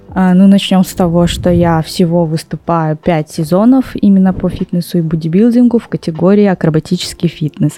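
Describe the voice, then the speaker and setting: Using a normal speaking voice, a woman talks at a moderate pace in a fairly low pitch with ordinary pitch variation. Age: 20s. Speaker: fitness competitor. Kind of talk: casual chat.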